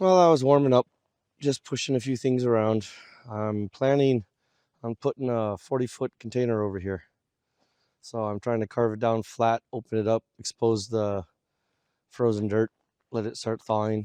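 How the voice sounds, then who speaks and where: A man's medium-pitched, dark and mellow voice at a moderate pace, with ordinary pitch variation, long, frequent pauses and a dry, close sound with no echo. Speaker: homesteader vlogger. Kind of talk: casual vlog narration. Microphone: audio problems.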